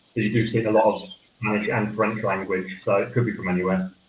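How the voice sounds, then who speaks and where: Very rapid delivery in an Essex accent. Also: man. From Essex, England. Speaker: cheese judge, cheesemonger. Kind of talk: casual chat.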